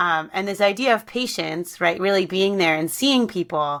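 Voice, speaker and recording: In a very clean recording with a silent background, a woman speaks at a medium pitch. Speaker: podcast host, researcher. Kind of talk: interview conversation. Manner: fast.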